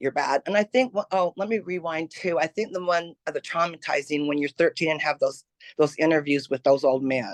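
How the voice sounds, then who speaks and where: A woman with a plain, everyday voice talks at a fairly quick pace, her fairly low pitch moving in lively intonation. The sound is dry and close, with no echo. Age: 60s. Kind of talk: testimony.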